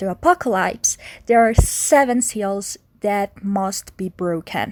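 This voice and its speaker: The recording is very clean, with a silent background. A woman speaks at a medium pitch in a Spanish accent. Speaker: video game podcaster. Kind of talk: casual solo podcast summary. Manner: halting, stuttering; laughs often.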